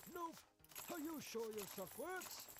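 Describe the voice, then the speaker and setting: A man puts on a character voice at an extremely high pitch, with clear background noise. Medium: video game. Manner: hesitant, stammering.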